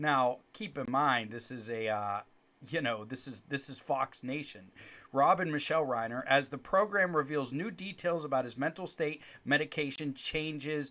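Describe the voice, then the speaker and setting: A man speaks at a moderate pace with a fairly high pitch and a bright, sharp tone, his loudness swinging widely while his pitch varies in an ordinary way. The recording is very clean, with a silent background. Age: 40s. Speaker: lawyer and legal commentary podcaster. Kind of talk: live-streamed commentary podcast. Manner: conversational with frequent fillers and restarts.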